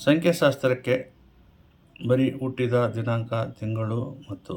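Here a man speaks in a somewhat breathy voice. His medium pitch has ordinary variation. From Koppal, north Karnataka, India. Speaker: astrologer and numerologist. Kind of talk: advice monologue to camera. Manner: formal.

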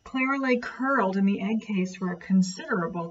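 The passage is read aloud. It is done in a natural voice.

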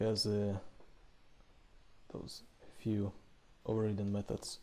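Speaking in a fairly low pitch, a man keeps a monotone, flat intonation and a dark, mellow tone.

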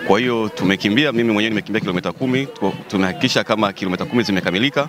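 This is an unremarkable speaking voice: a man at a fairly low pitch with ordinary pitch variation. The sound is dry with no echo, and light background noise is present. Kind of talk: interview answer. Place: street. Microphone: handheld.

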